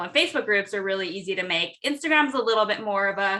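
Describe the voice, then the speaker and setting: A woman with an American accent speaks loudly at a fairly quick pace. Her tone is bright and sharp, with ordinary pitch variation. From Southern California. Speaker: entrepreneur and connection strategist. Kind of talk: interview. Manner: animated.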